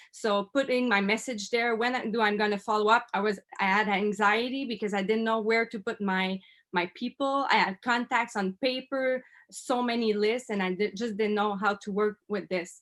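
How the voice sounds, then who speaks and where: The speaker has a Quebec accent and fairly even intonation at a moderate pace. It is a very clean recording with a silent background. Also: woman, fairly high pitch for a woman. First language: French. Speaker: network marketer. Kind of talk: interview testimony. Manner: halting.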